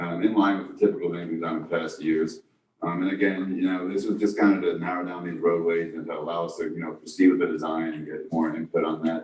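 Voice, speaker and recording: Here a man speaks in a New York accent. His voice is very deep and low, with flat, monotone intonation. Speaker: district engineer. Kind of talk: public meeting report. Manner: fast; halting, many fillers.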